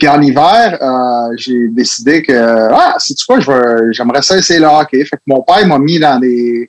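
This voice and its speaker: At a moderate pace and with fairly high pitch, a man talks over noticeable background noise. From Quebec, Laval. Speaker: former hockey player. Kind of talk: casual interview. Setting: video call.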